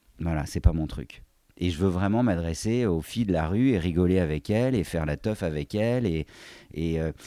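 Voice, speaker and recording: A man's very deep, low voice with a dark, mellow tone, lively intonation and a moderate pace, in a very clean recording with a silent background. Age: 40s. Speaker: handbag designer and craftsman. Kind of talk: casual chat.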